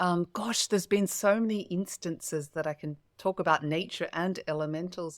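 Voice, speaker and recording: With an Australian accent, a woman speaks at a moderate pace and a fairly low pitch, with hardly any pauses and fairly even intonation, in a dry, close sound with no echo on a very clean recording with a silent background. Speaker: spiritual coach and podcast host. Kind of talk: interview.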